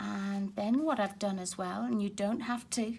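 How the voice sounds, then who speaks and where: At a moderate pace, a woman speaks in a somewhat breathy voice with medium pitch and ordinary pitch variation. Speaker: card-making crafter. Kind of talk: craft tutorial talk to camera.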